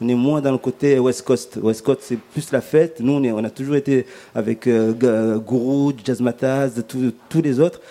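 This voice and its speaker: With a dark, mellow tone and a medium pitch, a man speaks at a fairly slow pace using fairly even intonation. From Comoros. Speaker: musician. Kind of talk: panel discussion. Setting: live public broadcast in a restaurant.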